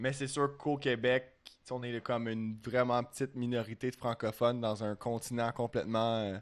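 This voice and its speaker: A man in a Quebec accent, medium-pitched, with monotone, flat intonation at a moderate pace. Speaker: language student. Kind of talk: casual chat.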